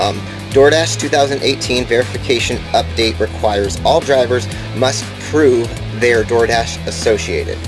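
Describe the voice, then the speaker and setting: Clear music plays behind a man as he talks. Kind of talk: casual vlog chat. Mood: earnest warning. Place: home room. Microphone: webcam.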